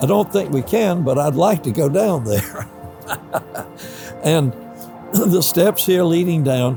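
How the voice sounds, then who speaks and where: Music plays behind a man with a Southern US accent who speaks at a fairly slow pace with lively intonation. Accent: Southern American. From Columbia, South Carolina. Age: 80s+. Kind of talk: interview answer.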